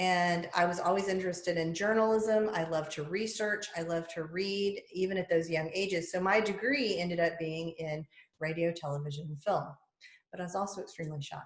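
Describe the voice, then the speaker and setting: A woman with a Southern US accent speaks at a fairly low pitch and a fairly quick pace, with fairly even intonation. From US South. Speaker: podcast host and public speaker. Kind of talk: casual chat.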